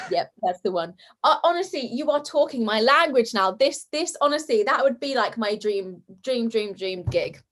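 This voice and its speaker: A woman with a British accent talks loudly in a bubbly tone at a moderate pace. Her high pitch moves in very wide swings. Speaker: comedy sketch creator and actress. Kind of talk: casual interview chat.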